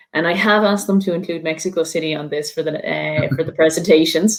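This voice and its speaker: A woman speaks with an Irish accent at a fairly quick pace. Her pitch is very deep and low, with ordinary pitch variation. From Ireland, midlands. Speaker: university international student officer. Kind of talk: online presentation. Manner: fast; enthusiastic.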